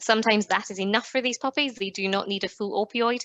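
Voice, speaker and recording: In a Scottish accent, a woman talks at a very fast pace with fairly even intonation, recorded dry and close with no echo against a quiet background. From Scotland. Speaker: veterinary dentist. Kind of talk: professional lecture.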